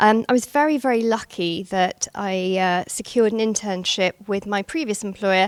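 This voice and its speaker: In a British accent, a woman speaks at a fairly high pitch, the sound dry and close with no echo. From England, London area. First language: Gujarati. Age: 40s. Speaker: banking executive. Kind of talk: speech at a networking event. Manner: hesitant, many fillers.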